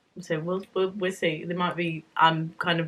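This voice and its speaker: A woman talks with a British accent. Her pitch is fairly low. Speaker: book vlogger. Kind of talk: casual chat. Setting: home, evening after shower.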